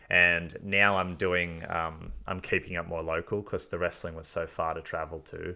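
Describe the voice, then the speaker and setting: Moderate pace in an Australian accent, flat monotone delivery and hardly any pauses. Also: man, very deep, low pitch for a man. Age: 20s. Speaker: podcast host. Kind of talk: casual chat.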